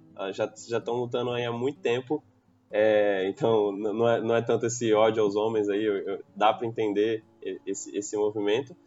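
A man with a normal speaking voice, medium in pitch, with fairly even intonation at a moderate pace. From Brazil, Santos (São Paulo state coast). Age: 20s. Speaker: product owner and computer engineer. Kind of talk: casual podcast panel discussion.

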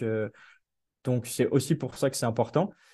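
A man speaks at medium pitch with a dark, mellow tone. His pace is moderate and the background is quiet. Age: 20s. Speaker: PhD researcher in education. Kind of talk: interview. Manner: hesitant, many fillers.

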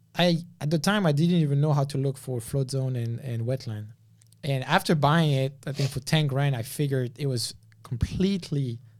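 On a very clean recording with a silent background, a man with a fairly high pitch speaks at a moderate pace with ordinary pitch variation. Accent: French. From France. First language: French. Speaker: land investor and developer. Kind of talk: casual interview.

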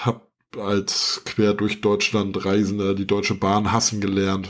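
A man talks with a fairly low pitch and at a fairly slow pace. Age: 40s. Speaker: podcast host, IT professional. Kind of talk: casual chat. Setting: video call.

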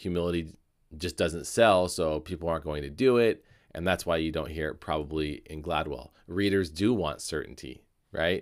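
On a very clean recording with a silent background, a man speaks at a moderate pace in a very deep, low pitch with ordinary pitch variation. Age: 40s. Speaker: podcast host. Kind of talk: solo commentary podcast. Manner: halting.

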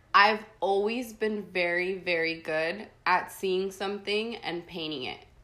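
A woman with an unremarkable speaking voice, medium pitch, fairly even intonation, a fairly slow pace and hardly any pauses. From San Diego, California, born in Tijuana, Mexico. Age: 20s. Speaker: artist. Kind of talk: casual interview chat.

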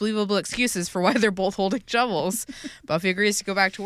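An unforced voice carries the reading.

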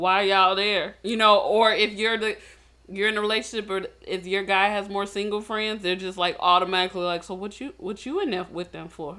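A woman talks at a fairly quick pace in a plain, everyday voice. Her pitch is medium and her intonation fairly even. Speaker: podcast co-host. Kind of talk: casual chat.

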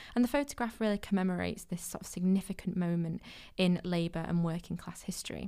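With a Mancunian accent, a woman speaks at a very fast pace in a medium pitch, using ordinary pitch variation and a dark, mellow tone. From Manchester, England. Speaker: museum podcast host. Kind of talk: podcast interview and narration. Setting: in a museum.

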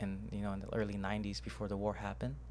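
Speaking at a fairly quick pace, a man uses a very deep, low pitch with vocal fry and very wide pitch swings. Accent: American. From Houston, Texas. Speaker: martial arts coach. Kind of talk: casual chat. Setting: studio.

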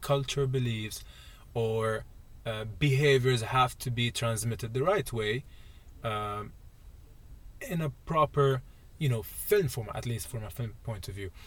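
A man speaks at a fairly slow pace in a medium pitch, his somewhat breathy voice showing ordinary pitch variation on a very clean recording with a silent background. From UAE, Palestinian Jordanian family. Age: 20s. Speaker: video producer. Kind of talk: casual chat. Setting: studio.

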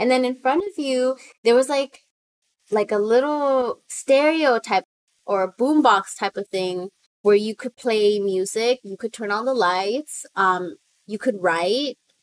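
With an American accent, a woman with a fairly high pitch and an ordinary speaking voice talks at a fairly slow pace, showing ordinary pitch variation and big swings in loudness in a dry, close sound with no echo. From US, Salvadoran family. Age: 20s. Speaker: artist and writer. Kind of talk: casual interview chat.

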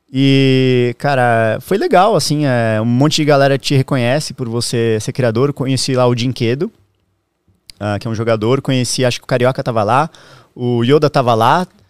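A man speaks with an ordinary speaking voice at a medium pitch and a moderate pace, with ordinary pitch variation and a dry, close sound with no echo in a very clean recording with a silent background. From southern Brazil, Santa Catarina. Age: 30s. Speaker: streamer. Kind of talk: casual chat.

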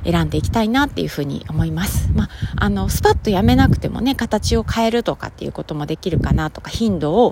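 A woman talks at a very fast pace with hardly any pauses. Noticeable background noise sits behind her. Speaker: podcaster. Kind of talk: casual solo talk.

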